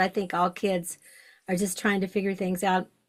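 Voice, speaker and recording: Here a woman with a medium pitch and an ordinary speaking voice talks at a fairly quick pace. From US South, Western Kentucky. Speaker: shamanic podcast host. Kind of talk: interview conversation.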